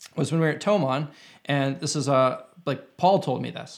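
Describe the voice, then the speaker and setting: A man with an ordinary speaking voice and a Canadian accent, fairly quick pace, ordinary pitch variation, and a very clean recording with a silent background. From Canada, Winnipeg. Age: 30s. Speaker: YouTube guitarist. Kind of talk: casual chat.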